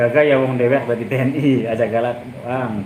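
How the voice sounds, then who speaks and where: A medium-pitched male voice at a fairly quick pace with fairly even intonation, amid audible room echo and noticeable background noise. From Cirebon, West Java, Indonesia. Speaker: marine soldier and live streamer. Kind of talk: live stream chat reading viewer comments. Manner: casual.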